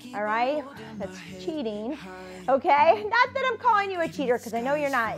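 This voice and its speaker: Over clear music in the background, a woman speaks fairly quickly in a high pitch. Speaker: fitness instructor. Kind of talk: workout instruction. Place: studio.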